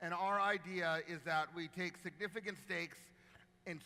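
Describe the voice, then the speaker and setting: This man has a high pitch. His tone is bright and sharp. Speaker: marketing executive and keynote speaker. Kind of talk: keynote talk. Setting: stage with audience and live translation. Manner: fast; animated.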